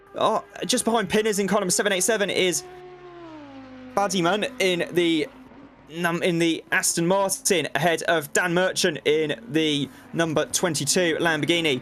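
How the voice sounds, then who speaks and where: Noticeable background noise sits under a man speaking at a moderate pace with a high pitch. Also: ordinary pitch variation, very even loudness. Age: 20s. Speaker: sim racing commentator. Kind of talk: live commentary. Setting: commentary box.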